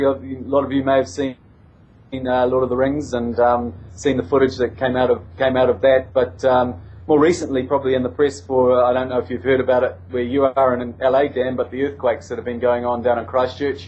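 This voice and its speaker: With a New Zealand accent, a man speaks at a fairly quick pace and medium pitch, his pitch varying in an ordinary way. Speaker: winery representative. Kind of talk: interview. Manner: halting, many fillers and repetitions.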